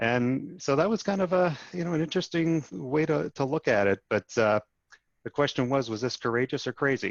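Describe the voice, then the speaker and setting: Fairly high for a man, his voice moves with lively intonation at a moderate pace. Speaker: chief financial officer. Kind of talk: podcast interview.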